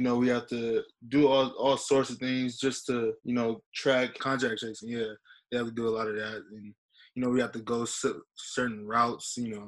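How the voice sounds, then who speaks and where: In an American accent, a man speaks at a moderate pace and medium pitch with flat, monotone intonation. The recording is very clean and the background silent. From San Diego, California. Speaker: college football player. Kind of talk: interview. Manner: halting, many fillers.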